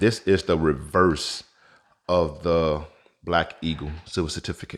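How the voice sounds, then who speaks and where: Very deep, low male voice at a fairly slow pace, with fairly even intonation, on a very clean recording with a silent background. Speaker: currency collector YouTuber. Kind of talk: tutorial. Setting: home vault.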